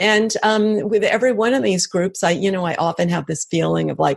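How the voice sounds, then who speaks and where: At a moderate pace, a woman with an American accent speaks in a medium pitch with an ordinary speaking voice. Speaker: author and brain researcher. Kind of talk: interview.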